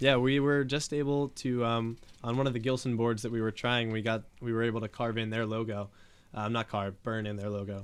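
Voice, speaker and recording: This man speaks with an eastern Pennsylvania accent at a medium pitch. His intonation is fairly even and his pace fairly quick. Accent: eastern Pennsylvania American. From eastern Pennsylvania, Bethlehem. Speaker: small business owner, woodworking artist. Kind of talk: podcast interview. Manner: hesitant, many fillers.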